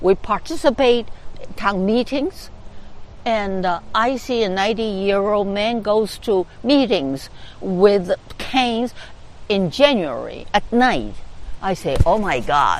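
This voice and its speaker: Speaking at a very slow pace, a woman uses lively intonation. Her voice sits at a medium pitch. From China. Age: 80s+. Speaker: community organizer. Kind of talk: interview. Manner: halting, with frequent fillers.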